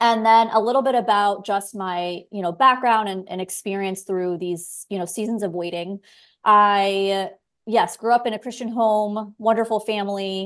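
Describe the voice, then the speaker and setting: Against a quiet background, a woman with an American accent speaks in a plain, everyday voice at medium pitch, with fairly even intonation and a moderate pace. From South Florida. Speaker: podcast host, physician assistant. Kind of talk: interview, faith conversation.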